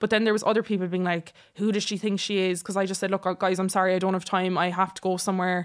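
On a very clean recording with a silent background, a woman speaks at a very fast pace with an Irish accent. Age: 20s. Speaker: social media content creator. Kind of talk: casual interview chat.

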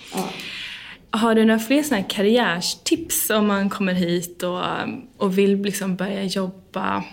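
The speech moves at a moderate pace with fairly even intonation. Noticeable background noise and audible room echo fill the recording. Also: woman. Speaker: podcast host. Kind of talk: casual interview. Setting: conference room.

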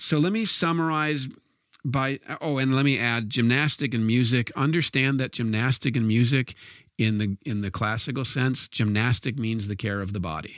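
With an ordinary speaking voice, a man talks at a moderate pace and medium pitch, his pitch varying in an ordinary way on a very clean recording with a silent background. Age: 50s. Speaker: educator on classical education. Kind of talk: lecture.

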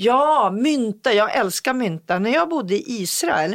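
The speaker moves at a fairly slow pace with very wide pitch swings. The sound is dry and close with no echo, and the recording is very clean with a silent background. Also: woman. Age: 50s. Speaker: podcast co-host. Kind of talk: casual chat.

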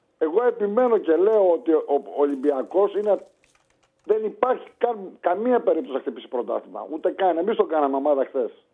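A man with a high voice speaks at a moderate pace, his pitch swinging very widely. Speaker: caller. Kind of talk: casual chat.

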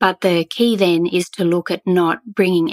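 A woman speaks at a fairly slow pace with an Australian accent and a fairly low pitch. The sound is dry and close with no echo, on a very clean recording with a silent background. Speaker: eco store founder. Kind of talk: interview.

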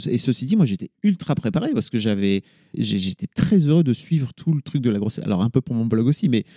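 A man's dark, mellow, medium-pitched voice at a fairly quick pace, lively in intonation, with a dry, close sound and no echo. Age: 40s. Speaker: podcaster and media entrepreneur. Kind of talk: casual chat.

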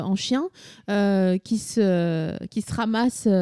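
A woman's dark, mellow tone with lively intonation, in a dry, close sound with no echo. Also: very clean recording, silent background. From Vosges, eastern France. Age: 30s. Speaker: podcaster and comedy creator. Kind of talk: casual chat.

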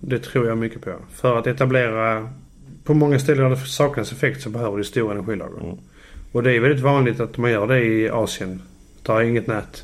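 A man talks at a fairly quick pace in an ordinary speaking voice. His pitch is medium and his intonation fairly even. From southern Sweden (Landskrona, Skåne). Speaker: electrician. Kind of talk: casual chat. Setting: home kitchen.

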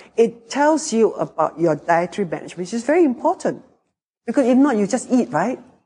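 A woman talks fairly quickly at a fairly high pitch, her dark, mellow tone marked by vocal fry. Her pitch swings very widely. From Singapore. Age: 60s. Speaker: business co-founder. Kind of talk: interview.

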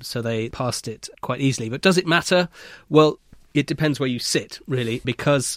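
A man speaks at a moderate pace in a normal speaking voice with ordinary pitch variation, on a very clean recording with a silent background. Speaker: banking editor. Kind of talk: panel discussion. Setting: studio.

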